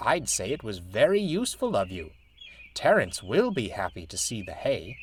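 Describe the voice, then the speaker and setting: A man performs a put-on character voice. He moves at a moderate pace. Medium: read story. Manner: warm, chuckling.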